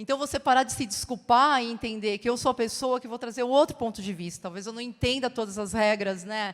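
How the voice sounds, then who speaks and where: On a very clean recording with a silent background, an ordinary speaking voice moves at a fairly quick pace with hardly any pauses, ordinary pitch variation and big swings in loudness. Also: woman, fairly high pitch for a woman. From Brazil. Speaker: advertising creative. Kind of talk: conference talk.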